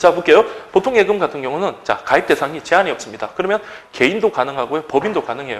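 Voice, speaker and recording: The speech is very fast, with very wide pitch swings. Noticeable background noise is present. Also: man, high pitch for a man. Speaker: exam prep lecturer. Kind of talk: lecture.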